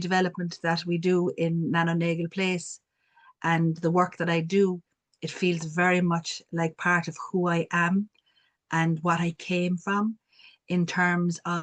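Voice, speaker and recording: A woman speaks with a strong Cork accent at a fairly slow pace. Her fairly low voice sounds dry and close, with no echo. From Ireland, Cork city. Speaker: community development worker. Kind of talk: panel discussion.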